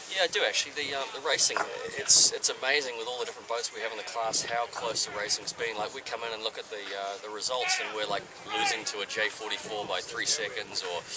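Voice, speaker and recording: A man talks at a very fast pace with an American accent. Noticeable background noise runs beneath his speech. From New Zealand. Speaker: sail designer. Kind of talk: casual interview. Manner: hesitant, many fillers.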